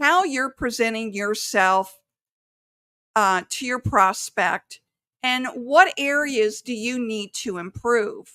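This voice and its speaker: A woman's high-pitched voice at a very slow pace, with lively intonation and a dry, close sound with no echo. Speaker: sales coach. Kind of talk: podcast monologue. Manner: careful enunciation.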